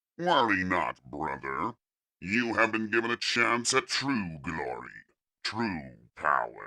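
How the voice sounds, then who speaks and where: A man's put-on character voice, fairly low in pitch, at a fairly slow pace. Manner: calm, cold, commanding.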